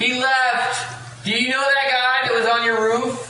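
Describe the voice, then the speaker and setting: A put-on character voice, fairly high in pitch, at a fairly slow pace with a slight echo. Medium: actual play. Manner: breezy.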